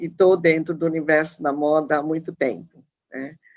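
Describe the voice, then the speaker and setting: A woman speaks fairly slowly in a plain, everyday voice, her pitch fairly low. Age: 60s. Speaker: fashion professor. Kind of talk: panel discussion.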